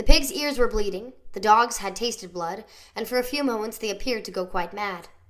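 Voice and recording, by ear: The text is read aloud in a natural voice.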